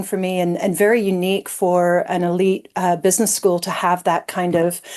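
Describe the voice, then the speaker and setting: A woman's unremarkable speaking voice, medium in pitch, with an American accent, at a moderate pace. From United States. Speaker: business school innovation executive. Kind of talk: panel discussion. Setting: webinar.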